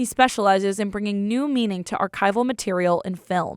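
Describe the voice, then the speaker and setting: Using a plain, everyday voice, a woman at medium pitch talks at a fairly quick pace with ordinary pitch variation. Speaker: radio reporter. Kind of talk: public radio news reporting.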